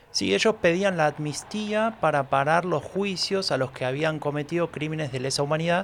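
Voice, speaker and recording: Here is an unremarkable speaking voice: a man with fairly high pitch, ordinary pitch variation and a moderate pace. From Buenos Aires, Argentina. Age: 40s. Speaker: podcast host. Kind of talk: scripted narration.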